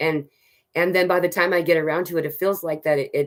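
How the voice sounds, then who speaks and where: The speaker is a woman. Her pitch is fairly low. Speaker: spiritual channel host. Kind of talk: live Q&A stream. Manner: fast; halting.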